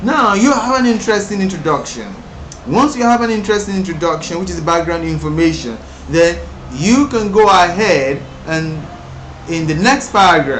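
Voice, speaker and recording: The speaker's intonation is lively and the pace moderate. Room echo is audible, along with noticeable background noise. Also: man. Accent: Nigerian. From Nigeria. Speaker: English exam teacher. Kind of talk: tutorial. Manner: halting, with many self-repairs.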